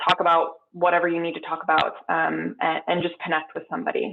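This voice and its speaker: A woman speaks in a fairly low voice. Her intonation stays monotone and flat. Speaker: keynote speaker, industry scientist. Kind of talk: keynote talk and Q&A. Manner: fast.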